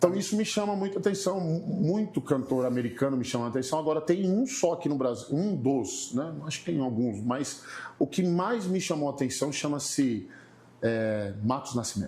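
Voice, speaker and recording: Through audible room echo, a man with a fairly high pitch speaks at a moderate pace, his pitch swinging very widely. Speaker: gospel singer. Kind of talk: casual chat.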